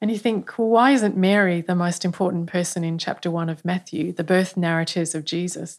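A woman's fairly low voice in an Australian accent, fairly quick with hardly any pauses and fairly even intonation, on a very clean recording with a silent background. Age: 50s. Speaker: church leader. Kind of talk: podcast interview.

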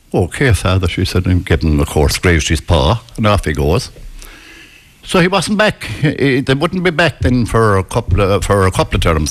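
A moderate pace with very wide pitch swings and very even loudness, in a rural Irish accent, over noticeable background noise. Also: man. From west of Ireland. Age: 70s. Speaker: retired psychiatric nurse. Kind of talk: storytelling in a casual interview. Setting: live outside broadcast with local audience.

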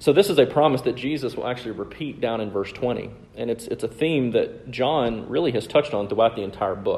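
A man with a Southern US accent speaks at a fairly quick pace, his medium pitch rising and falling in an ordinary way. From US South. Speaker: preacher. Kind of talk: sermon.

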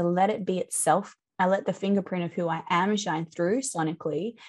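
A woman's medium-pitched voice in an Australian accent, with fairly even intonation. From central Australia. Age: 30s. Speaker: musician and sound healing teacher. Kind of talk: casual interview chat. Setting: video call.

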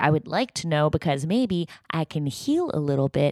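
A woman with a Canadian accent speaks with very wide pitch swings. The sound is dry and close with no echo, on a very clean recording with a silent background. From Canada, Toronto. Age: 30s. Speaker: podcast host. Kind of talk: casual chat; video diary monologue.

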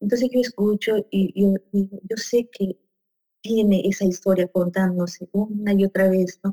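Music plays behind a woman talking at a moderate pace and medium pitch. Her intonation is monotone and flat, and the sound is dry and close with no echo. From Peru. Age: 40s. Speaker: psychologist and coach. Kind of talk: conversational interview.

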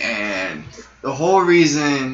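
A man with an American accent and a fairly high pitch speaks amid noticeable background noise and audible room echo. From Arizona (Sierra Vista). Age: 20s. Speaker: musician. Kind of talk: casual interview.

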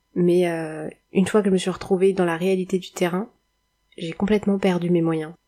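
A woman talks at a moderate pace in a fairly low voice. Her intonation stays monotone and flat. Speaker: podcaster, former nurse turned web writer. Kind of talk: solo podcast monologue. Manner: hesitant, many filler sounds.

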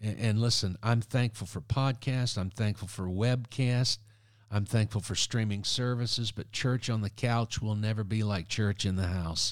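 A man talks in an animated tone at a moderate pace, his pitch fairly low. The recording is very clean, with a silent background. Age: 60s. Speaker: evangelist. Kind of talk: casual podcast interview. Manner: animated, humorous.

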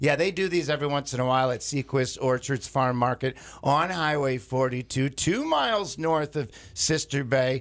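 The tone is animated, with ordinary pitch variation. The recording is very clean, the background silent. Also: man. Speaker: radio host. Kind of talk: casual chat. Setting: studio.

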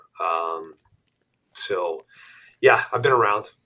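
A man is speaking. He has a New York accent. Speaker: hunting outfitter and podcaster. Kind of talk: interview.

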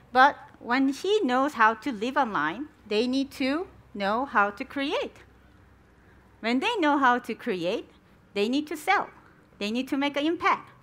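At a fairly slow pace with long, frequent pauses, a woman with a Korean accent speaks at a high pitch with very wide pitch swings. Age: 40s. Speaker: education researcher and founder. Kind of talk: conference presentation; answering audience questions.

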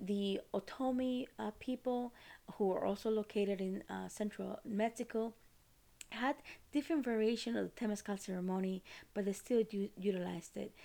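In a Costa Rican accent, a woman with a dark, mellow tone speaks at a moderate pace with ordinary pitch variation. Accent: non-native accent, from Costa Rica. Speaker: podcast host, ceremony retreat leader. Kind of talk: solo educational talk. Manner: casual, many fillers.

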